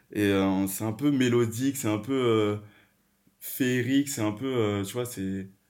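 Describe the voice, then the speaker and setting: In a very clean recording with a silent background, a man speaks at a very slow pace with long, frequent pauses. His pitch is medium and his intonation fairly even. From Paris region and rural France, Guadeloupean family. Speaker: podcast guest, art management student. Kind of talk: casual chat.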